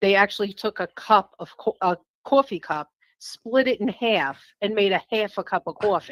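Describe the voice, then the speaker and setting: A New York accent at a moderate pace with ordinary pitch variation, dry and close with no echo, on a very clean recording with a silent background. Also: woman, medium pitch for a woman. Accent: New York accent, noticeable. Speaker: caller seeking a reading. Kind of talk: casual chat.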